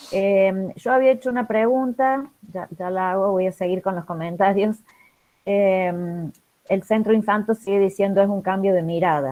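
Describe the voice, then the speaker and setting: With an ordinary speaking voice, a woman talks at a medium pitch and a moderate pace, using ordinary pitch variation. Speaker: moderator reading audience comments. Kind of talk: reading aloud audience comments in online conference.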